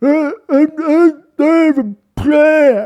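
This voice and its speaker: A high-pitched, put-on character voice carries the whole clip. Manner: dim-witted, comically simple.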